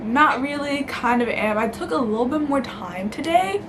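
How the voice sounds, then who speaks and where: With an American accent and lively intonation, a high-pitched woman speaks through noticeable background noise and audible room echo. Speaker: YouTuber. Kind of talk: casual vlog. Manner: casual, filler-heavy.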